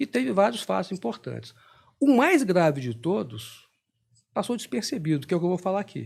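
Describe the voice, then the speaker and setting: A man talks at a fairly quick pace in a high pitch with very wide pitch swings. The recording is very clean with a silent background. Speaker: intelligence expert, retired army officer. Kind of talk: podcast interview. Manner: fast.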